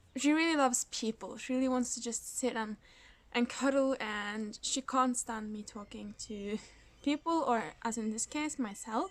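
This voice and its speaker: With a non-native accent, a woman speaks at a high pitch and a moderate pace, with ordinary pitch variation. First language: Norwegian. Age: 20s. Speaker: knitting podcaster. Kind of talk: casual vlog talk. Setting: indoors in a kindergarten.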